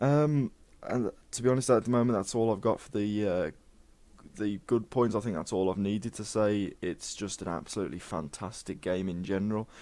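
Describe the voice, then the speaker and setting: A man's fairly low, dark, mellow voice at a fairly quick pace, with ordinary pitch variation and big swings in loudness, in a very clean recording over a silent background. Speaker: gaming video creator. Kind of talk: game review monologue. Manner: reading from notes, halting.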